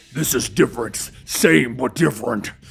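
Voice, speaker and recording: A man's growling put-on character voice, medium in pitch, with lively intonation at a moderate pace. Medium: read story.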